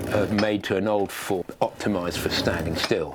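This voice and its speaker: With an English accent, this man talks. He takes a fairly slow pace. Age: 70s. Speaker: craftsman. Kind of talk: documentary interview. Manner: relaxed, conversational.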